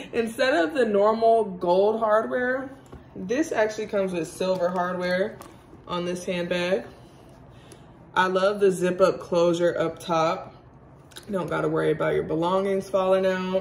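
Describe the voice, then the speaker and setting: With audible room echo, a woman speaks at a fairly slow pace, leaving long, frequent pauses. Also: medium pitch for a woman, ordinary pitch variation. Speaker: lifestyle YouTuber. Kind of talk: unboxing vlog.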